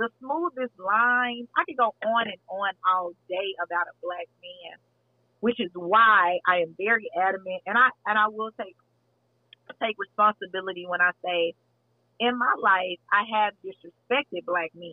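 An unremarkable speaking voice, with an American accent and a moderate pace. The intonation is lively, and the loudness swings widely. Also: woman, medium pitch for a woman. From Texas. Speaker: podcast host. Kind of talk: casual chat.

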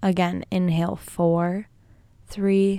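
A woman with a dark, mellow tone and fairly low pitch speaks very slowly in a monotone, flat manner. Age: 20s. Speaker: podcast host and health coach. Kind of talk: casual monologue; guided breathing.

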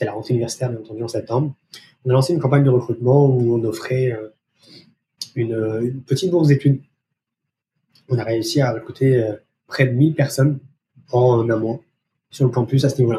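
Somewhat breathy, with a dark, mellow tone and fairly even intonation, a man speaks at a fairly quick pace but with long, frequent pauses. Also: medium pitch for a man. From France. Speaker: research operations manager. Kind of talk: interview.

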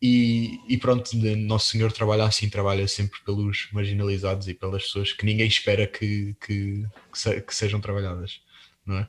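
Somewhat breathy and fairly low in pitch, a man speaks with monotone, flat intonation. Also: moderate pace. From Portugal. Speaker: podcast host. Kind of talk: interview on religious topics. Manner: halting, repeats words.

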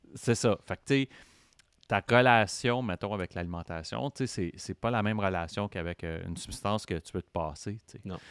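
A man's ordinary speaking voice, fairly low in pitch with ordinary pitch variation, at a moderate pace with big swings in loudness, dry and close with no echo, on a very clean recording with a silent background. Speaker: podcaster in addiction recovery. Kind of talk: casual interview chat.

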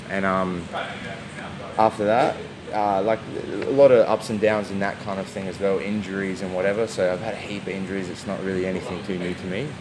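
Speaking in an Australian accent, a man with a fairly low pitch talks at a fairly quick pace in a monotone, flat way, amid noticeable background noise and audible room echo. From South Australia, Adelaide. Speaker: jiu jitsu athlete and coach. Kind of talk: interview. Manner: casual.

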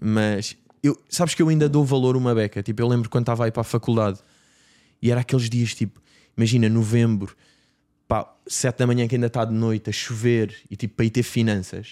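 In a very clean recording with a silent background and a dry, close sound with no echo, a man speaks at medium pitch in a dark, mellow tone, keeping very even loudness and a fairly quick pace broken by long, frequent pauses. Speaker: podcast host, comedian. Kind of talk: casual chat. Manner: animated.

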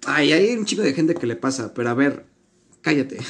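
An animated tone at a moderate pace. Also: man. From Mexico. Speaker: podcast host. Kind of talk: casual chat.

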